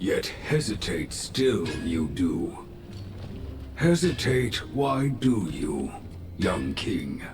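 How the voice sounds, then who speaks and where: Over loud background noise, a man in a put-on character voice speaks at a very slow pace with a medium pitch, leaving long, frequent pauses. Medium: video game. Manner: inverted word order, measured, deliberate.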